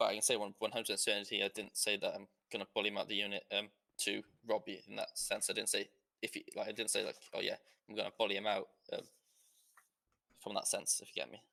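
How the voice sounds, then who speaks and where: A man talks very fast with a British accent. He leaves long, frequent pauses. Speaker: online roleplay gamer. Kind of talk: casual chat. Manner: halting.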